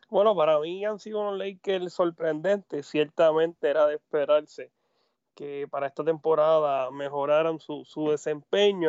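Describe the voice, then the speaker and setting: Fairly even intonation at a moderate pace. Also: man. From Puerto Rico. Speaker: sports narrator. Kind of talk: casual sports chat. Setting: Skype call.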